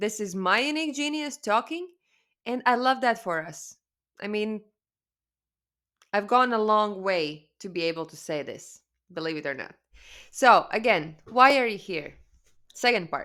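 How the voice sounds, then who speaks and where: A woman with a Latvian accent and a bright, sharp tone, moderate pace, very wide pitch swings, big swings in loudness, and long, frequent pauses. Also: fairly high pitch for a woman. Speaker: spiritual coach. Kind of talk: webinar presentation. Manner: casual, halting with fillers.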